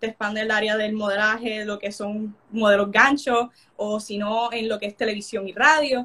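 A woman with a fairly high pitch talks at a moderate pace. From Puerto Rico, Coamo. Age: young. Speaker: beauty pageant contestant. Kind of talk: casual interview. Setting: live stream. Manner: animated.

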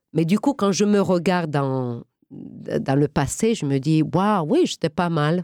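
A woman's dark, mellow tone moves through very wide pitch swings. The recording is very clean and dry, close with no echo, with a silent background. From Romania, then United States. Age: 50s. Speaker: actress. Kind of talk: interview. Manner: halting.

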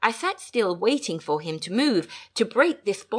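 Someone does plain reading aloud in this clip.

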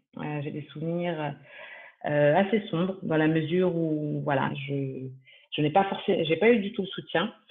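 A woman talks in a normal speaking voice at a fairly low pitch. Her moderate pace carries lively intonation. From France, Paris region. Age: 30s. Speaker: real estate asset manager. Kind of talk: interview testimony.

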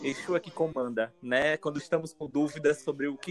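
A man at a fairly quick pace, fairly even intonation, music in the background. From Aracaju, Sergipe, northeastern Brazil. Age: 20s. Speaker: designer and religious priest. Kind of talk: casual chat.

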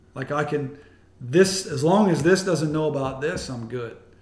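Audible room echo surrounds speech delivered at a moderate pace with an American accent. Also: man. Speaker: pastor. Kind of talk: casual interview. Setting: host's home.

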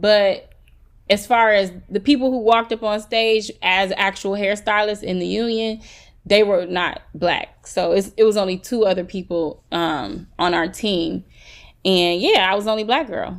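A woman with an American accent and a normal speaking voice talks at a moderate pace, with medium pitch and ordinary pitch variation. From US Midwest, south side of Chicago. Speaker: hairstylist. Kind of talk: casual interview. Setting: remote recording.

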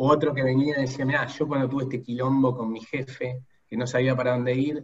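This speaker is a man at medium pitch. He keeps a moderate pace. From Buenos Aires, Argentina. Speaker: human resources executive. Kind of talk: interview.

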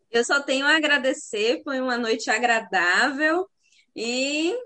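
In a raised, projected voice, a woman speaks at a very slow pace with a high pitch and lively intonation. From Brazil, sertão of Bahia. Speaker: university professor. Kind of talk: online live panel discussion.

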